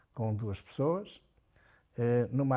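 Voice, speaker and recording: A man with ordinary pitch variation, in a very clean recording with a silent background. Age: 70s. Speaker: business executive. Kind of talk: interview. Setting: at home.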